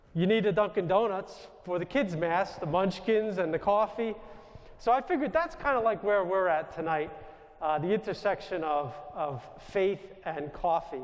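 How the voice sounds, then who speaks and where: In a New York accent, a man speaks loudly at a high pitch and a moderate pace, with ordinary pitch variation. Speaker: Jesuit priest. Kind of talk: spiritual talk to audience. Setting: stage with audience.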